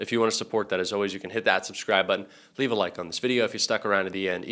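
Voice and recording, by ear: In a put-on character voice, a man sounds raspy and hoarse at fairly low pitch, rattling along at a very fast pace with fairly even intonation on a very clean recording with a silent background.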